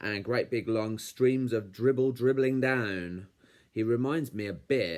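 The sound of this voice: An unforced reading voice carries the whole clip.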